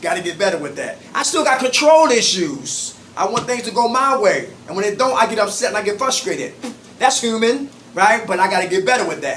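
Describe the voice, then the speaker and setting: A man with an extremely high pitch talks in an animated tone with lively intonation. Noticeable background noise and audible room echo are present. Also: fairly quick pace. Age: 50s. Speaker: recovery group facilitator. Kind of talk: support group meeting. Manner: fast.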